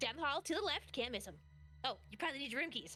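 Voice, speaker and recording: Using a put-on character voice, a woman talks very fast at a high pitch amid clear background noise. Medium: actual play. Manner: fast, scattered, stop-and-start.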